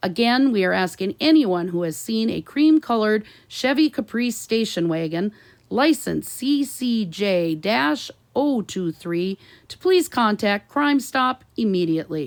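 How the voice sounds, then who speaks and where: In a put-on character voice, a woman speaks at a fairly high pitch with very wide pitch swings and a moderate pace. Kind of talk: radio news bulletin. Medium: read story.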